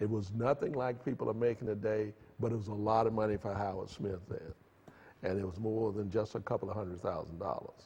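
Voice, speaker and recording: A man talks at a moderate pace with ordinary pitch variation. His voice is fairly low and somewhat breathy. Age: 70s. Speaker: tech entrepreneur. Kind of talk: interview. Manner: halting.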